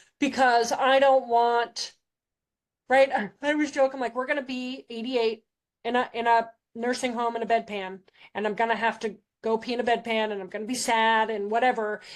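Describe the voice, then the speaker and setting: Her pitch fairly high and her intonation fairly even, a woman speaks at a fairly quick pace. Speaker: former kindergarten teacher, behavior educator. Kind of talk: interview conversation. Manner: loud, feisty, sassy.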